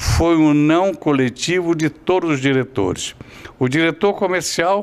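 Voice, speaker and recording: A man talks at a fairly slow pace with ordinary pitch variation. Noticeable background noise runs behind him. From Rio de Janeiro, Brazil. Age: 80s+. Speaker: TV reporter. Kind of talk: interview answer, life story recollection.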